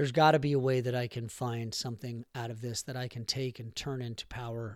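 This man talks at a fairly quick pace. His intonation is monotone and flat. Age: 40s. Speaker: podcast host. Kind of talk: solo motivational monologue. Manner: casual with many filler words.

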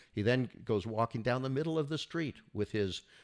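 A man with an American accent and vocal fry at a moderate pace, dry and close with no echo, on a very clean recording with a silent background. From US, Northern California (Bay Area). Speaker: lawyer, school board member and columnist. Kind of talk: political discussion podcast.

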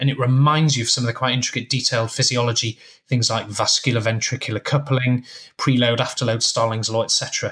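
A man's medium-pitched voice at a fairly quick pace, very even in loudness and flat, monotone in intonation. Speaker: intensive care doctor. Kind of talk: casual chat. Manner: chatty, hesitant with fillers.

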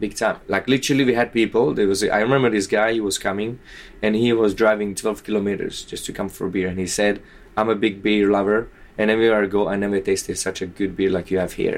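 A man with a Slovak accent speaks very fast in a fairly low voice. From southern Slovakia. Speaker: bartender. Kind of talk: interview. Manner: animated.

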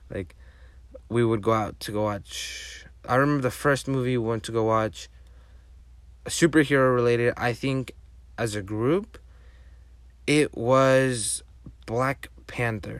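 Speaking with a Spanish accent, a man uses a medium pitch and ordinary pitch variation at a fairly slow pace, with long, frequent pauses. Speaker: podcast host. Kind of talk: solo podcast monologue. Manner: casual, halting with frequent fillers.

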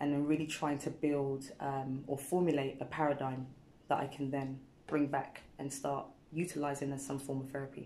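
Speaking in a British accent at a moderate pace, a woman has a very deep, low pitch, a dark, mellow tone and monotone, flat intonation. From England, Ghanaian heritage. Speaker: wellness practitioner and dancer. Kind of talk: casual interview chat. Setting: studio.

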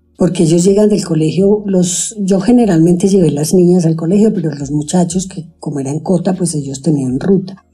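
Somewhat breathy with a dark, mellow tone, a woman speaks at a moderate pace and a fairly low pitch with ordinary pitch variation. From Colombia, Antioquia (Sonsón). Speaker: stay-at-home mother, former nurse. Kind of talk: interview conversation.

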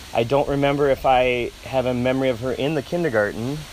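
A man with a fairly high pitch talks while noticeable background noise fills the recording. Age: 40s. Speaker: parent of host. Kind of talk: casual interview.

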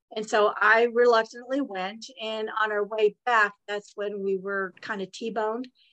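Speaking with a West Coast US accent, a woman uses a fairly high pitch, a bright, sharp tone and monotone, flat intonation at a fairly slow pace with hardly any pauses. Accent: General American, West Coast. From California. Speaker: author. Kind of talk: interview.

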